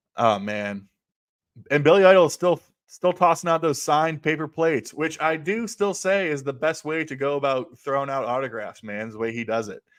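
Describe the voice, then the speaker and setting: Fairly high in pitch, this man has a plain, everyday voice. He talks at a fairly quick pace with lively intonation. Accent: American. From US Midwest (central Ohio). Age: 40s. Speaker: music livestreamer and record collector. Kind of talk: casual solo livestream chat.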